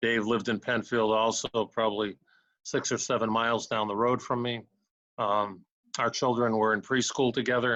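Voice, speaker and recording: Over a quiet background, a man with an American accent talks at a moderate pace and medium pitch in a bright, sharp tone with monotone, flat intonation. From New England (Massachusetts). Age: 70s. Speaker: retired judge and mediator. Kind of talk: interview. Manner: halting, many fillers.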